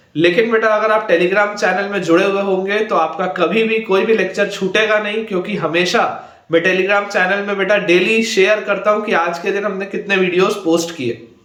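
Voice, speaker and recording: A high-pitched man speaks at a moderate pace with fairly even intonation and hardly any pauses, amid audible room echo and noticeable background noise. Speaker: online math teacher. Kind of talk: lecture.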